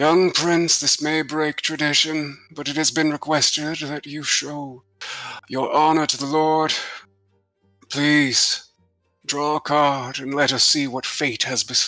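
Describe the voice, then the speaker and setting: Putting on a character voice, a man speaks fairly slowly at a fairly high pitch in a monotone, flat intonation, with faint music in the background. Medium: actual play. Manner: formal, solemn.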